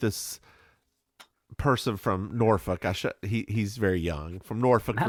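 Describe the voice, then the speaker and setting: A man drawls in a Southern accent at a fairly slow pace, the sound dry and close with no echo. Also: very clean recording, silent background. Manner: charming drawl, storytelling.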